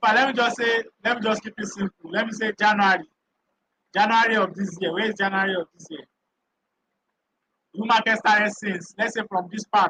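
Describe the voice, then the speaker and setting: This man's raised, projected voice sits high in pitch, with a bright, sharp tone and a fairly quick pace, recorded dry and close with no echo. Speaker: crypto trading educator. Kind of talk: live stream tutorial. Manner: loud.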